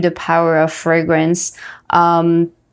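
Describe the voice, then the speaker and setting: A woman's fairly low voice with a French accent, at a very slow pace, in a very clean recording over a silent background. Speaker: entrepreneur and health coach. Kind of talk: interview. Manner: halting, many fillers.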